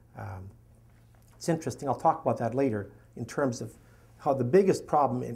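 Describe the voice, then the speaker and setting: A man with a Canadian accent and vocal fry, in audible room echo. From Canada. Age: 60s. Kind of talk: lecture.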